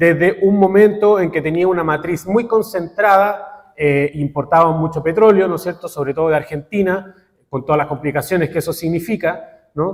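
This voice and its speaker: Hardly pausing, a man with a high pitch talks with ordinary pitch variation. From Chile. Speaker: academic researcher. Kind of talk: conference talk. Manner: deliberately slow; halting, many filler sounds.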